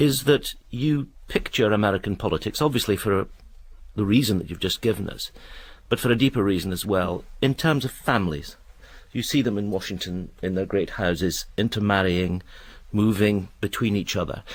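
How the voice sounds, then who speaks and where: This very clean recording has a silent background. A man with an ordinary speaking voice talks at a moderate pace. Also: fairly low pitch for a man, ordinary pitch variation. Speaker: radio presenter. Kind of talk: interview question.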